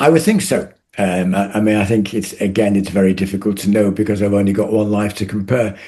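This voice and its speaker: Very fast, a man speaks in a dark, mellow tone with a fairly low pitch. His intonation stays fairly even. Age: 70s. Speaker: retired doctor and ultra runner. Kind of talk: interview. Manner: halting.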